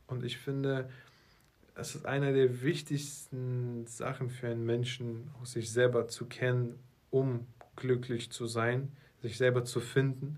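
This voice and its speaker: A man speaks at a very slow pace in a monotone, flat way. His medium-pitched voice is somewhat breathy. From Russia (Moscow), then Berlin. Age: 20s. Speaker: marketing entrepreneur, podcast co-host. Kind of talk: casual chat.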